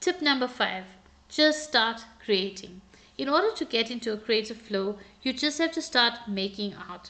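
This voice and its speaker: A woman speaks at a moderate pace in a fairly high pitch, her bright, sharp tone carrying lively intonation. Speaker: artist. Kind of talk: art tutorial voiceover.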